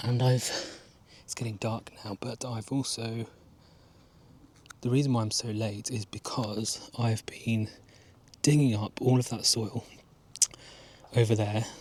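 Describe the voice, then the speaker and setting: A man with an English accent, medium pitch, somewhat breathy, monotone and flat, at a fairly slow pace with long, frequent pauses. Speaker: gardening vlogger. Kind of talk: casual vlog narration. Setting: outdoors in garden at dusk.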